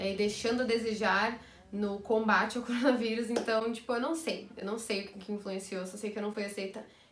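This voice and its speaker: Amid audible room echo, a woman speaks at a fairly quick pace with fairly even intonation. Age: 20s. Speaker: YouTuber and music teacher; YouTuber, music teacher. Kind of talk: casual vlog. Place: home room.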